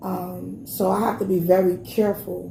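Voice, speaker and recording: A woman's animated, medium-pitched voice in a Brooklyn accent, with audible room echo and noticeable background noise. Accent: New York (Brooklyn). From Brooklyn, New York (Brownsville). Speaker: podcast co-host. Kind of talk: casual chat. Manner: loud.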